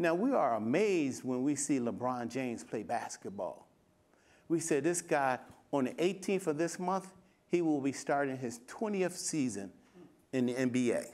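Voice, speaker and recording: A man speaks with a plain, everyday voice. His pace is moderate. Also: fairly high pitch for a man, lively intonation. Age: 60s. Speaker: fitness coach and former bodybuilder. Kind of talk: panel discussion.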